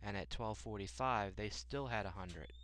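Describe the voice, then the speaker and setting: A man's fairly low voice with vocal fry, very wide pitch swings, a moderate pace and audible room echo. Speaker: math teacher. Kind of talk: tutorial.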